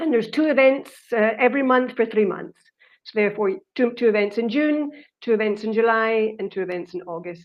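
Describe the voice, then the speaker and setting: This woman speaks at a fairly quick pace, her pitch fairly high with ordinary variation. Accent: Scottish. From Scotland. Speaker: winemaker. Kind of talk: online wine tasting seminar.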